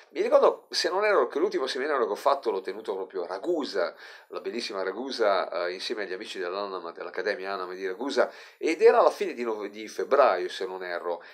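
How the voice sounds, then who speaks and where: Over a quiet background, a man talks at a very fast pace with big swings in loudness. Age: 50s. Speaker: life coach. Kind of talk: motivational monologue to camera. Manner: animated. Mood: earnest, somewhat saddened. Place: home room. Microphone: phone near.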